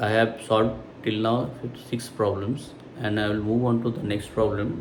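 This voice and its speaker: Through audible room echo and noticeable background noise, a man at medium pitch talks at a fairly slow pace. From India. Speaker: math tutor. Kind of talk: tutorial. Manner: halting, many fillers.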